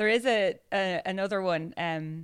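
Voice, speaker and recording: This woman has a fairly low-pitched voice with a bright, sharp tone. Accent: Irish. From Ireland. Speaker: podcast guest, works in advertising. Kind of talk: casual, conversational. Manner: chatty, self-deprecating storyteller.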